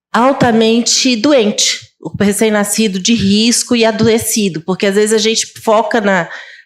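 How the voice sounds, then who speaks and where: A woman with a fairly high pitch speaks at a fairly slow pace, with hardly any pauses, very even loudness and ordinary pitch variation. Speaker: pediatrician and neonatologist. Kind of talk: conference talk. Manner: halting, self-correcting.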